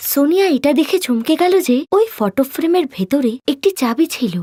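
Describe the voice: A woman speaks at a fairly quick pace in a high voice with a dark, mellow tone and lively intonation.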